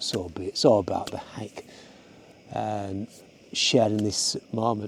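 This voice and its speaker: This man speaks with a Yorkshire accent, his fairly low voice carrying a dark, mellow tone. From Yorkshire, northern England. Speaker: hiking and photography vlogger. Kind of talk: casual vlog monologue. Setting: outdoors on a mountain hike. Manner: casual, hesitant with fillers.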